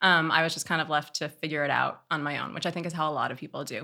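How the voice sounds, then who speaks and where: Bright and sharp in tone, a woman with a Californian accent talks at a very fast pace. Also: very clean recording, silent background. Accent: General American (California). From Oakland, California. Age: 30s. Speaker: sex educator. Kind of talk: casual interview.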